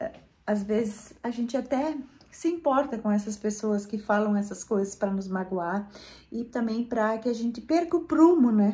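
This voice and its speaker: A woman's fairly high voice sounds somewhat breathy, with a dark, mellow tone. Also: lively intonation, moderate pace. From Brazil, rural Rio Grande do Sul. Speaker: gardening and home lifestyle YouTuber. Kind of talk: casual vlog talk to viewers.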